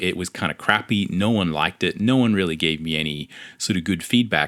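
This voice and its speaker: With an Australian accent, a man speaks at a very deep, low pitch and a moderate pace, showing ordinary pitch variation. The recording is very clean with a silent background, dry and close with no echo. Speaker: comic book artist. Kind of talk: podcast monologue.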